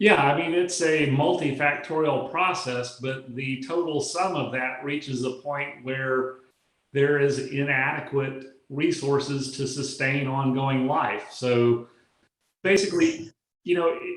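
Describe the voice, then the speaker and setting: A man speaks in a normal speaking voice with fairly high pitch. His intonation stays fairly even at a fairly slow pace. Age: 60s. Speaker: physician and exercise expert. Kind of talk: interview answer. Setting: video call.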